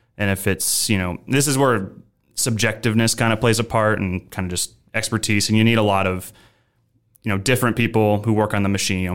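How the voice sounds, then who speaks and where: This man talks at a very fast pace with a Midwestern accent. His pitch is fairly low and his intonation fairly even. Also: very clean recording, silent background. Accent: General American (Midwest). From Nebraska, US Midwest. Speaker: controls engineer. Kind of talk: interview about machine safety.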